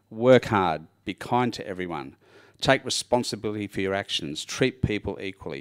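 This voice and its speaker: A man with an Australian accent speaks at a moderate pace in a medium pitch with lively intonation. The sound is dry and close with no echo, on a very clean recording with a silent background. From Australia, Sydney. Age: 60s. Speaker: churchgoer giving testimony. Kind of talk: testimony. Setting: church.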